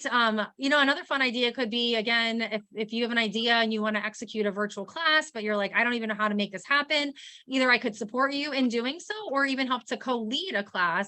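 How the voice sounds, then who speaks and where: A woman talks at a very fast pace with hardly any pauses. Her tone is bright and sharp, and her pitch is fairly high. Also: ordinary pitch variation. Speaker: dietitian. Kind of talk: webinar Q&A.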